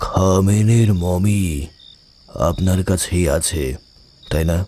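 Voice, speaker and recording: Putting on a character voice, a man talks at a very deep, low pitch with fairly even intonation and a very slow pace. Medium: audio drama. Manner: slow, deliberate.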